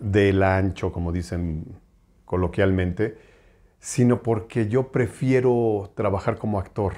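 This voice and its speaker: This man's voice has a dark, mellow tone and fairly low pitch, and he talks at a very slow pace. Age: 50s. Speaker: voice actor. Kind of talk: interview. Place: home room. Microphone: lapel.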